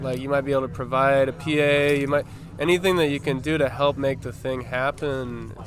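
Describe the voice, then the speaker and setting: Against noticeable background noise, a man with a fairly high voice speaks at a fairly quick pace. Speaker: punk band member. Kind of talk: interview answer.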